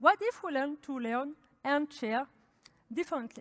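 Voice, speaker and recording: Lively intonation in a French accent, with a dry, close sound and no echo. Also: woman. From France. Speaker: developer advocate. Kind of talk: conference talk.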